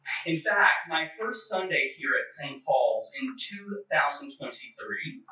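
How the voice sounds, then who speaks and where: Audible room echo surrounds a man who speaks very slowly. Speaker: clergyman. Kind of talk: church forum talk. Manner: halting, with repeated words and fillers.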